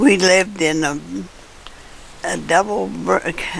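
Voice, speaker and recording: American-accented speech from a woman, set against noticeable background noise. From US Midwest, southern Illinois. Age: 80s+. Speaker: elderly interviewee recounting life story. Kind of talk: oral history interview. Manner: halting, with false starts.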